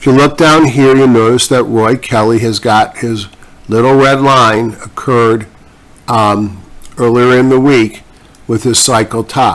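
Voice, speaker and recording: This is a man with a normal speaking voice at medium pitch. His intonation is fairly even and his loudness very even. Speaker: stock market commentator. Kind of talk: market analysis video commentary. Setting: distorted microphone audio. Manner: casual, conversational.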